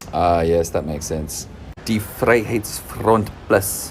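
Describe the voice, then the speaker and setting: This is a man's voice. Background noise is noticeable. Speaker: social commentator. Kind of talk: commentary monologue. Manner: whispering.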